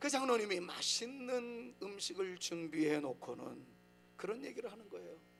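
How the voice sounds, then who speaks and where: Speaking at a moderate pace over music in the background, the voice shows very wide pitch swings and big swings in loudness, with audible room echo. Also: man, high pitch for a man. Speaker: pastor. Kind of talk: sermon. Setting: church.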